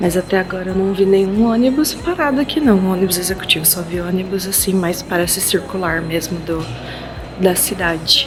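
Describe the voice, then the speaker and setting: Over music in the background, a woman talks at a fairly quick pace with ordinary pitch variation and audible room echo. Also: medium pitch for a woman. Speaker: travel vlogger. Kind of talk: travel vlog. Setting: bus terminal and bus. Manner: casual, chatty; speaking quietly.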